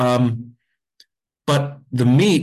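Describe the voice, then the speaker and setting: A man speaks in a medium pitch with a central Pennsylvania accent. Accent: central Pennsylvania American. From Pennsylvania, Mount Carmel. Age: 40s. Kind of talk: casual interview chat. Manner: animated.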